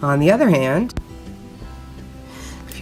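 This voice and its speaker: Music plays in the background as a woman speaks in a very deep, low pitch. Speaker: teacher. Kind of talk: educational lecture narration.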